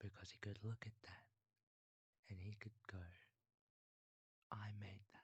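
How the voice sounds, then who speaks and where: A man talks at a fairly slow pace in a fairly low pitch, his voice somewhat breathy. His intonation is monotone, flat, with long, frequent pauses. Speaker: ASMR creator. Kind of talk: bedtime story telling.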